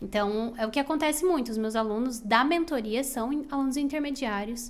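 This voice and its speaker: A woman with a high-pitched voice talks at a fairly quick pace with ordinary pitch variation, and the room echo is audible. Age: 20s. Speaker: English teacher and mentor. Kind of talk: podcast interview.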